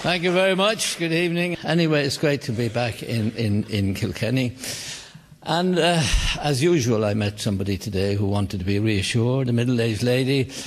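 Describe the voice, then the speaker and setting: A man with a Cork accent, medium in pitch, with lively intonation at a fairly quick pace, over noticeable background noise. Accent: Irish, Cork. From Cork, Ireland. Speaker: comedian. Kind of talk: live stand-up comedy. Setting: live theater with audience.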